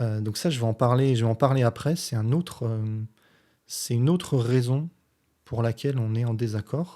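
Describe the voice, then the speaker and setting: A man speaks at a medium pitch in a dark, mellow tone, with ordinary pitch variation. The recording is very clean and the background silent. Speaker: physics teacher and science youtuber. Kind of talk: response video commentary explaining physics. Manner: deliberately slow; hesitant, many filler sounds.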